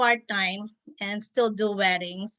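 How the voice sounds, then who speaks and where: Against a quiet background, a woman speaks fairly slowly at a medium pitch, with ordinary pitch variation and a bright, sharp tone. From Philippines. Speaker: wedding planner. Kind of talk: interview. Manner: hesitant, many fillers.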